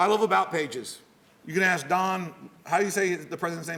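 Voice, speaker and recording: In a Texan accent, a man talks at a very fast pace. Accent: Texan American. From Texas. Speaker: security professional speaking to students. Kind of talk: guest lecture. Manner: casual, animated storytelling.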